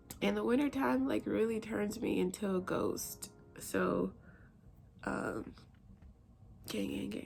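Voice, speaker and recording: Very slowly and quietly, a woman speaks with long, frequent pauses. Music plays in the background. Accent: American. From US South, rural Alabama. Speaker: vlogger and army officer. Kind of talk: casual vlog chat. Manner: low, quiet.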